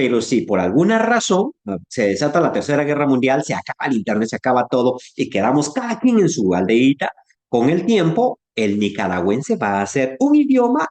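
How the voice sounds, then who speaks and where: Using a Guatemalan accent, a man speaks at a moderate pace with a fairly high pitch and very wide pitch swings. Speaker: Bible teacher. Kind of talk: online class lecture. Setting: online class. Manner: conversational, hesitant fillers.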